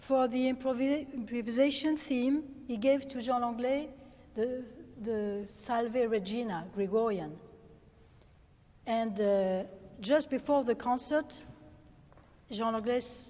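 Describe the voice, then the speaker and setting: A woman with a French accent at a high pitch and ordinary pitch variation, very slow in pace, with long, frequent pauses and audible room echo. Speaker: organist. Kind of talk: lecture. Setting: stage with audience. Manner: halting.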